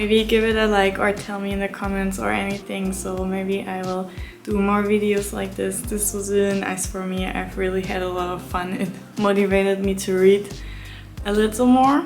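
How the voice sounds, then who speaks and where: Over music in the background and audible room echo, a woman with a non-native accent speaks at a moderate pace in a medium pitch with fairly even intonation. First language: not English. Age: 20s. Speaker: book vlogger. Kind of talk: book review vlog. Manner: casual, hesitant with fillers.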